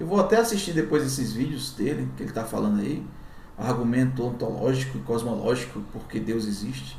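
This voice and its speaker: The speaker has a northeastern Brazilian accent. Room echo is audible, and there is noticeable background noise. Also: man, fairly quick pace. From Brazilian Northeast. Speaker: YouTuber. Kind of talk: commentary. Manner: casual.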